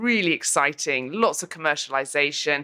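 A woman with a bright, sharp tone speaks at a moderate pace in a very clean recording with a silent background. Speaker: venture capitalist, competition judge. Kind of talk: interview. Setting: networking event. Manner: animated.

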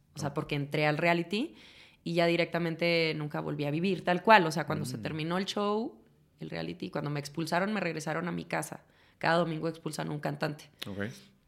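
Vocal fry runs through very fast speech with ordinary pitch variation. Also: woman, very deep, low pitch for a woman. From northern Mexico, Chihuahua. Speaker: actress and singer. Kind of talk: casual chat.

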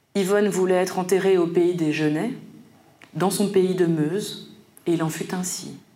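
A woman's medium-pitched, monotone, flat delivery at a fairly slow pace, with long, frequent pauses, audible room echo and noticeable background noise. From Paris suburbs, France. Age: 40s. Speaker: poet. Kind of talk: literary presentation.

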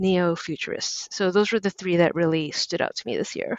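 With an ordinary speaking voice, a woman talks at a medium pitch with ordinary pitch variation. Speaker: critic. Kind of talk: casual chat.

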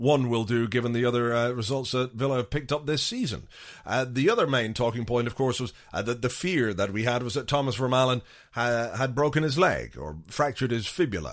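A man with a plain, everyday voice speaks at a fairly quick pace in a medium pitch with ordinary variation, on a very clean recording with a silent background. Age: 30s. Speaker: football podcast host. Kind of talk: casual chat. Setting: studio.

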